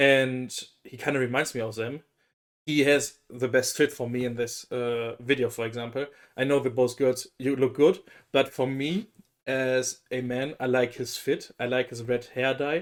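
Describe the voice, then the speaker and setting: A man with a German accent talks at a medium pitch and a moderate pace, with fairly even intonation. The recording is very clean, with a silent background. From Germany. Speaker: K-pop reaction youtuber. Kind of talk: casual reaction commentary.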